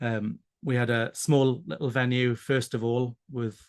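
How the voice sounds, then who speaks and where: The speaker uses fairly even intonation with a Welsh accent. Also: man. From South Wales. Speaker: pride committee organizer. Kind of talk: interview. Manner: hesitant, many fillers.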